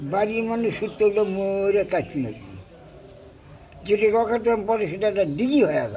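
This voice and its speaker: Ordinary pitch variation marks this man's high voice. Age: 80s+. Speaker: elderly war witness. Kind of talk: interview answer, war memories.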